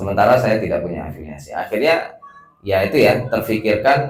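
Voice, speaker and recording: Somewhat breathy, a man talks at a fairly quick pace with audible room echo around him. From West Sumatra, Padang. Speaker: research institute director. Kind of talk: welcome speech. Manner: casual, hesitant with fillers.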